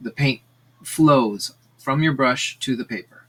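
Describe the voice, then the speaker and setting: Speaking fairly slowly, a man has an ordinary speaking voice at medium pitch. His pitch varies in an ordinary way. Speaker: art teacher. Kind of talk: tutorial. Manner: casual with many fillers.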